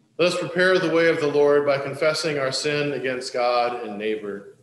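Audible room echo and light background noise fill the recording. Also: man. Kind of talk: liturgical prayer reading. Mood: solemn, calm. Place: church.

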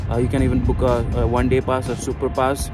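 A man talking at a very fast pace, dry with no echo, over clear background music. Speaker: travel vlogger. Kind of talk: casual vlog chat. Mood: excited, informative. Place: street. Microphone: phone near.

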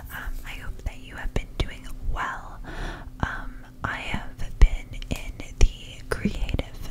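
A woman is whispering. Her pace is very slow. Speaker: ASMR creator. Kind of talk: ASMR whisper to camera. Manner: whispered, soft-spoken. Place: home room. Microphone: studio mic.

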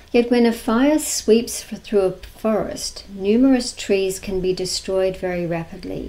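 A woman's voice with an Australian accent and hardly any pauses. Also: ordinary pitch variation, fairly slow pace. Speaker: lecturer, society president. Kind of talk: lecture; Q&A answers. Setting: video call. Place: home room. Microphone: webcam.

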